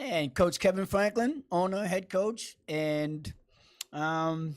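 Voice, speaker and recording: Here a man with a Boston accent speaks at a very slow pace, with a high pitch and ordinary pitch variation. The recording is very clean, with a silent background. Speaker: basketball coach. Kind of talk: interview.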